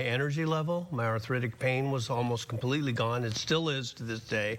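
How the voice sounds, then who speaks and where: A man talks fairly quickly over noticeable background noise. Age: 60s. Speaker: patient. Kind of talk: testimony.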